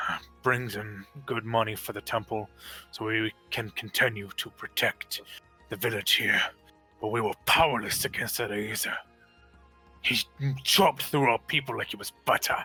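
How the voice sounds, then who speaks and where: A man's put-on character voice at a medium pitch and moderate pace, with faint music in the background. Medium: actual play. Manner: polite, old-fashioned forms of address.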